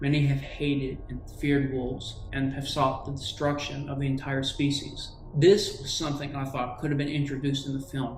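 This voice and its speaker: A man's fairly high voice, flat and monotone, with hardly any pauses and noticeable background noise. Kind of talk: movie review talk. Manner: agitated, sometimes rushed.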